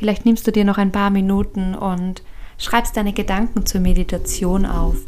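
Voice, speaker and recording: The speaker uses a soothing, gentle tone and monotone, flat intonation at a fairly slow pace. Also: woman. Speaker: podcast host and meditation guide. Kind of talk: guided meditation. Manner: slow, soothing and gentle, with long calm pauses; soft-spoken and warm.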